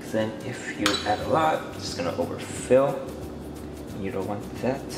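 A man speaks with music playing in the background. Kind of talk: tutorial. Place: kitchen.

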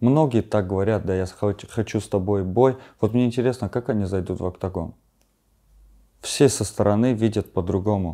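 Over a quiet background, a man talks at a moderate pace in a fairly low pitch, with ordinary pitch variation and a dark, mellow tone. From Armenia. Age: 20s. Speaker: bare-knuckle fighter; interview guest. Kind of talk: interview. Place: home room.

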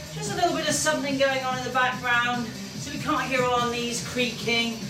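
Music plays in the background. Over it, a woman is speaking. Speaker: fitness instructor. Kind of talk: exercise class instruction. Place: home room. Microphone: camera far.

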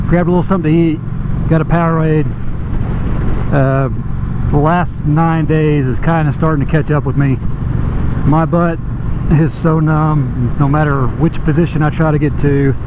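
A man talks in a monotone with flat intonation, very even loudness and long, frequent pauses. The sound is dry with no echo, and there is noticeable background noise. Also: moderate pace. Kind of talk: casual vlog chat. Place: motorbike.

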